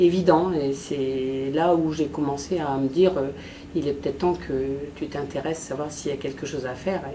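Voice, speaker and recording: Noticeable background noise and audible room echo fill the recording. The voice has ordinary pitch variation. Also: woman. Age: 60s. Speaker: patient giving testimony. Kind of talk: testimony. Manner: halting, many hesitations.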